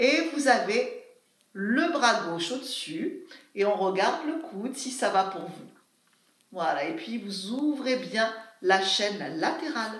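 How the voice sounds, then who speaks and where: There is audible room echo as a woman with a high-pitched voice speaks at a very slow pace with very wide pitch swings. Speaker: fitness instructor. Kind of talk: exercise class instruction. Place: home room. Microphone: camera far.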